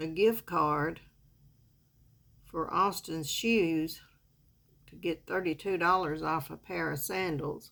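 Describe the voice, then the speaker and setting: Speaking with a Southern US accent, a woman talks very slowly in a fairly low, relaxed voice, leaving long, frequent pauses. Her intonation is fairly even, her loudness swings widely, and the recording is very clean with a silent background. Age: 70s. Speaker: makeup vlogger. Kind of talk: casual makeup tutorial chat. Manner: relaxed, chatty.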